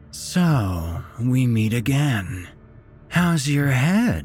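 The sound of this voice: In a put-on character voice, a woman speaks very slowly at an extremely low pitch with big pitch swings and a slightly mellow tone, faint music playing behind her.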